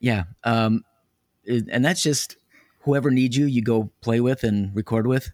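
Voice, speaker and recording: Captured in a dry, close sound with no echo, a man with a plain, everyday voice speaks at medium pitch and a fairly slow pace, with ordinary pitch variation and very even loudness. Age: 50s. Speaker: podcast host, theater performer. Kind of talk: interview conversation. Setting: remote call over internet.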